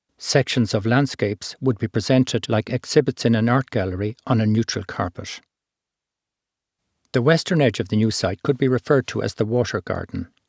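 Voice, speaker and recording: In an Irish accent, a man speaks fairly quickly at a medium pitch with ordinary pitch variation. The recording is very clean, with a silent background and a dry, close sound with no echo. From Ireland. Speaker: architect and environmentalist. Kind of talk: art film narration. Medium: read story.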